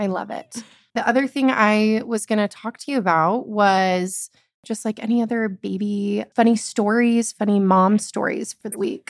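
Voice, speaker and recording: A woman's normal speaking voice, fairly high in pitch with fairly even intonation, at a moderate pace in a very clean, silent recording with a dry, close sound and no echo. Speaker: podcast host. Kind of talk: casual chat.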